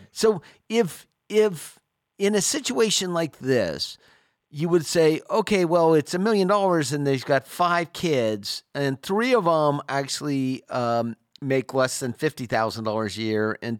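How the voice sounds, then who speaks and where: Here a man's fairly high voice makes very wide pitch swings at a fairly slow pace. The sound is dry and close, with no echo. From California, Sacramento. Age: 60s. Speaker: financial advisor and radio host. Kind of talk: radio call-in show. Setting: studio.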